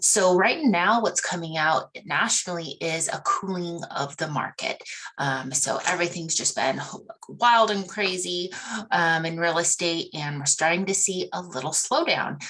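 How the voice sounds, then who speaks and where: Noticeable background noise sits behind a woman's fairly low voice. She speaks at a fairly slow pace with ordinary pitch variation. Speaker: real estate agent. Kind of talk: market update presentation.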